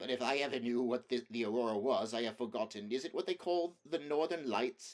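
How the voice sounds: A man puts on a shaky character voice at a medium pitch. He talks at a fairly quick pace with ordinary pitch variation.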